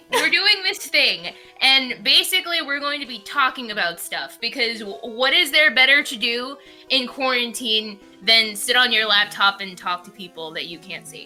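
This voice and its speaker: Over music in the background, a woman with a high voice talks at a moderate pace, her pitch swinging very widely and her loudness rising and falling sharply. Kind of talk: casual podcast chat.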